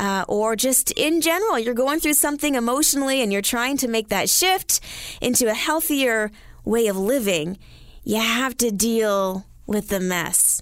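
A woman with a Canadian accent, an ordinary speaking voice, a fairly high pitch, and very even loudness. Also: lively intonation, moderate pace. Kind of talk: radio talk show. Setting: radio studio.

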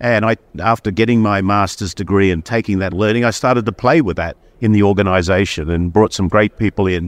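In an Australian accent, a man with a fairly low pitch speaks at a fairly quick pace with ordinary pitch variation, in a dry, close sound with no echo over a quiet background. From Australia, Sydney. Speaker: company chief executive. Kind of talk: interview.

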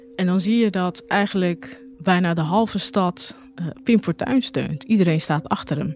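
A woman talks at a fairly slow pace with lively intonation and hardly any pauses. Noticeable background noise runs underneath. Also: medium pitch for a woman. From Rotterdam, Netherlands. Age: 30s. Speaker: journalist. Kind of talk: personal testimony. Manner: halting, with repetitions.

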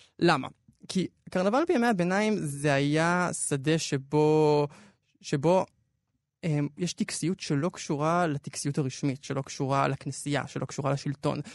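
This man has a normal speaking voice, fairly high, with ordinary pitch variation and a fairly slow pace. The sound is dry and close with no echo, over a quiet background. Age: young. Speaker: podcast editor and culture commentator. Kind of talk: radio culture discussion.

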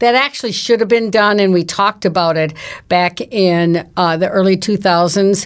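In an ordinary speaking voice, a woman with an American accent talks at a moderate pace and medium pitch with fairly even intonation. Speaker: downtown business advocate, editorial board member. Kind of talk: casual chat.

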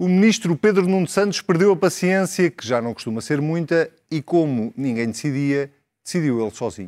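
A man with an ordinary speaking voice, fairly high in pitch and lively in intonation, at a moderate pace, the sound dry and close with no echo in a very clean recording with a silent background. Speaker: TV debate moderator. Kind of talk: scripted narration; moderated political debate.

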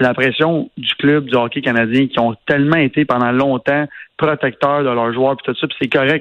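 A man's medium-pitched voice, flat and monotone. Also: moderate pace. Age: 30s. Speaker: entrepreneur, radio commentator. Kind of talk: casual chat.

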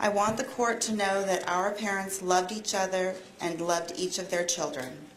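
Noticeable background noise behind a woman's moderate-paced, medium-pitched speech with ordinary pitch variation. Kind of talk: court statement read aloud. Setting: courtroom.

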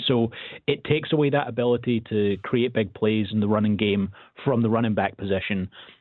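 At a fairly quick pace, a man with a fairly low pitch talks in a normal speaking voice. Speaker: football analyst. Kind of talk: radio interview about football. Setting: phone call.

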